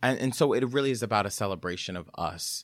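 A man with a plain, everyday voice speaks at a moderate pace with lively intonation. The recording is very clean and silent in the background, with a dry, close sound and no echo. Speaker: actor. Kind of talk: casual chat.

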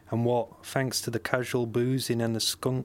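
This speaker has a West Yorkshire accent and keeps a moderate pace. The intonation stays monotone and flat. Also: man. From West Yorkshire, Bradford. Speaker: short story writer. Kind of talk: reading aloud.

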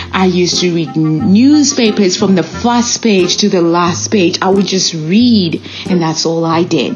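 A woman with a non-native accent speaks at a fairly slow pace with lively intonation. Music plays in the background. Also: fairly low pitch for a woman. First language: not English. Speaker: podcast host and nurse. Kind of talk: solo motivational monologue.

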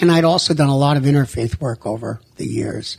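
A man speaks with ordinary pitch variation. Noticeable background noise runs under his voice. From US Northeast. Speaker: rabbi and nonprofit director. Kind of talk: radio interview. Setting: radio studio.

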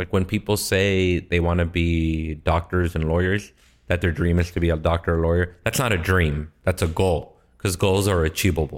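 A man with an American accent speaks in a very deep, low, monotone voice at a moderate pace and very even loudness, on a very clean recording with a silent background. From Los Angeles, US. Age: 30s. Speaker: stand-up comedian and TV writer. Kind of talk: casual interview chat. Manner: relaxed, laid-back.

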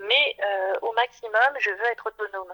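A woman speaks at a fairly high pitch with ordinary pitch variation, and the sound is dry and close with no echo. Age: 50s. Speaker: visually impaired mother. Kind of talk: interview testimony. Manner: halting.

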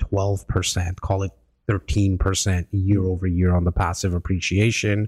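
In a very clean recording with a silent background and a dry, close sound without echo, a man with a Canadian accent speaks at a very deep, low pitch. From Canada, Toronto. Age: 40s. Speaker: real estate broker. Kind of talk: casual chat. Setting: studio.

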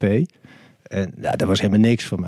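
A man speaks with a dark, mellow tone, and the sound is dry and close with no echo. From Netherlands, Limburg (Maastricht). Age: 50s. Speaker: cannabis lawyer. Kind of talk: podcast interview.

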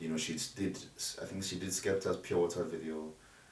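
Audible room echo surrounds a man's very deep, low voice. His intonation is fairly even. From Nigeria, Ogun State. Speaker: music producer. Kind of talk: casual interview.

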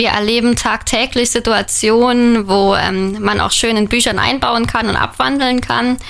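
A woman's fairly high, monotone, flat voice against noticeable background noise. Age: 20s. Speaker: author and trainee educator. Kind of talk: radio interview.

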